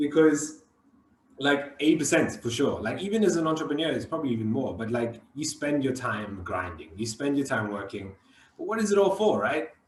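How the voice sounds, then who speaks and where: A man with a fairly high, somewhat breathy voice sounds animated, his pitch swinging very widely. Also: fairly quick pace. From South Africa. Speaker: podcast host, entrepreneur. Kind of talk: casual chat. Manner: repetitive, halting stammers.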